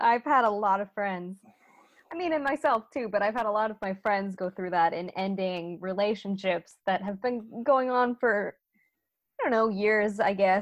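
A woman with a normal speaking voice talks at a moderate pace and medium pitch, with ordinary pitch variation and a quiet background. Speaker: podcast host. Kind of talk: casual banter recapping a reality TV episode.

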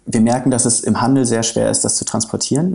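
The man's medium-pitched voice has a dark, mellow tone, vocal fry and ordinary pitch variation. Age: 30s. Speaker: coffee company managing director. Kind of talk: interview.

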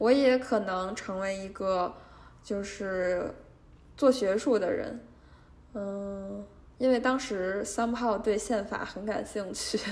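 At a very slow pace with long, frequent pauses, a woman of medium pitch speaks amid audible room echo. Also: fairly even intonation. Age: 20s. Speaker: podcast host and junior litigation lawyer. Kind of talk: casual solo monologue. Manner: hesitant, many filler sounds.

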